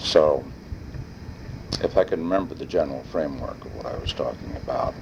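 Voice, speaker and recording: Through noticeable background noise, a man speaks at a fairly quick pace with big swings in loudness. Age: 60s. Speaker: family elder recording family history. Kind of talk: personal oral history monologue. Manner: rambling with filler hesitations.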